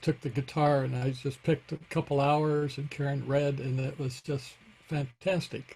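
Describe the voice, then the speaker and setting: Somewhat breathy and dark, mellow in tone, a man with an American accent speaks at fairly high pitch in a monotone, flat intonation at a moderate pace. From southern Illinois. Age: 70s. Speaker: congregant. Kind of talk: ritual sharing. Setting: video call.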